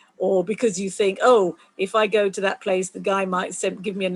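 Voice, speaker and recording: A woman's medium-pitched voice with vocal fry at a moderate pace. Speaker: STEM volunteer coordinator at a planetarium. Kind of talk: online community call presentation.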